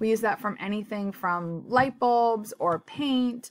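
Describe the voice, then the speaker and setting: Very cleanly recorded with a silent background, a woman with an American accent and an unremarkable speaking voice talks at a fairly slow pace with lively intonation. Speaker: personal finance vlogger. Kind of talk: tutorial.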